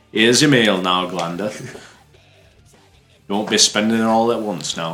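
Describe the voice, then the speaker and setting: A man puts on a raspy character voice at a fairly low pitch. He talks at a moderate pace while faint music plays in the background. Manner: jaunty, cheerful.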